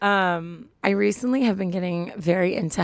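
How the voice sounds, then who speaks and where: Husky and hoarse, a woman's voice moves with ordinary pitch variation. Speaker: advice podcast co-host. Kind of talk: casual chat. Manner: animated.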